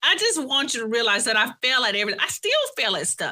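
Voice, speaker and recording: A woman's raised, projected voice, animated and bright and sharp in tone, with very wide pitch swings. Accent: strong Southern US. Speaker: coach, former college professor. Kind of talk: interview conversation. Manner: halting.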